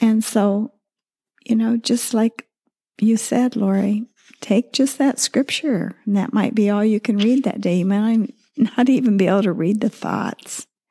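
A woman with an American accent speaks at a fairly slow pace with a fairly high pitch, a dark, mellow, somewhat breathy tone, fairly even intonation and very even loudness. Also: dry, close sound with no echo. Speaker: podcast co-host, widow and former pastor's wife. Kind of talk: devotional talk. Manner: halting, with many fillers.

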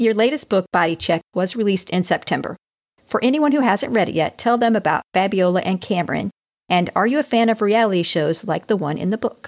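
Recorded with a dry, close sound and no echo, a woman with an unremarkable speaking voice and medium pitch talks fairly quickly with lively intonation. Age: 50s. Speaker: podcast host. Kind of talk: casual interview.

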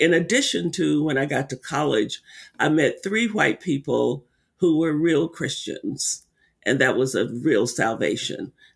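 Lively intonation marks a man's fairly high-pitched voice, which has vocal fry. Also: very clean recording, silent background. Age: 70s. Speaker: racial healing center director and author. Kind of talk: interview conversation.

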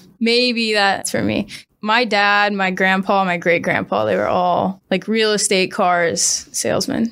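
Delivery is fairly slow, with fairly even intonation and an American accent. It is an ordinary speaking voice on a very clean recording with a silent background. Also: woman, medium pitch for a woman. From US Midwest (Springfield, Missouri). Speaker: tech sales account executive. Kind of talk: podcast interview.

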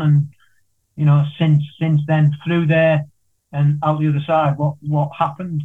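Somewhat breathy, a man talks at a moderate pace with a fairly high pitch and monotone, flat intonation. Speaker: podcast host. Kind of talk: casual interview.

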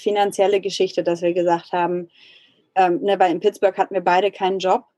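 A woman speaks in a dark, mellow voice at medium pitch. Her intonation is monotone and flat, and the sound is dry and close with no echo. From Germany. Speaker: emigrant entrepreneur. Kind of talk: casual chat.

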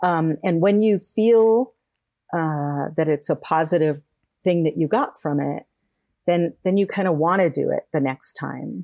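A woman's fairly low, dark, mellow voice with an American accent, ordinary pitch variation, and a fairly slow pace, in a very clean recording with a silent background and a dry, close sound with no echo. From California. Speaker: caregiving consultant and author. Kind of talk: interview.

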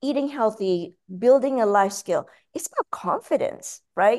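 At a fairly slow pace, a woman talks in a high pitch. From Malaysia. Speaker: cookbook author. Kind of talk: interview; recipe instructions. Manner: repetitive stammering starts.

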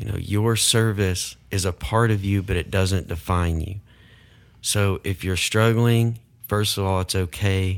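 A man with a normal speaking voice talks at a fairly slow pace and a fairly low pitch. His intonation is fairly even, and the recording is very clean with a silent background. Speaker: podcast host. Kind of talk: interview conversation.

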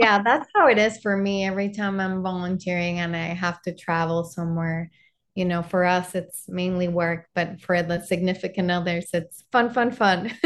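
The speaker is a woman with a Spanish accent. Behind her the background is quiet. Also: medium pitch for a woman, moderate pace. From Panama. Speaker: architect guest. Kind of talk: casual interview.

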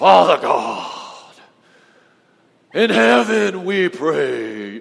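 A man's put-on character voice at medium pitch, with very wide pitch swings and a very slow pace. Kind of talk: stilted, formal. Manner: pompous, preachy, put-on.

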